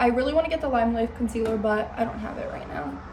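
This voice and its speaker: A woman talks with lively intonation. Noticeable background noise and audible room echo surround her voice. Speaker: beauty vlogger. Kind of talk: makeup tutorial. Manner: casual, filler-heavy.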